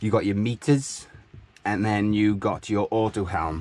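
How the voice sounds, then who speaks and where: A man talks at a moderate pace in an unremarkable speaking voice, pitched fairly low. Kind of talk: casual vlog tour. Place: boat. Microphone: phone near.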